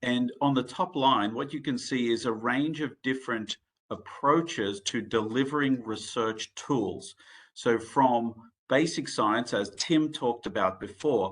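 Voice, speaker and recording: Against a quiet background, a man with an Australian accent speaks at a fairly slow pace with a medium pitch and ordinary pitch variation. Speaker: medical device executive and researcher. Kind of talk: conference presentation. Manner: halting, many fillers.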